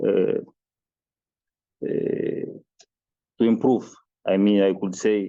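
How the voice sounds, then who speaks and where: Very slow and broken by long, frequent pauses, a man speaks with a Mozambican accent. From Mozambique. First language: Portuguese. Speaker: agricultural researcher. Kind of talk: research presentation. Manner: halting, many hesitations.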